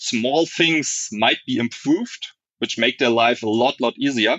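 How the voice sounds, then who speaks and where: Speaking with a German accent, the man keeps to a moderate pace. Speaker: software architect. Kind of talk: casual interview.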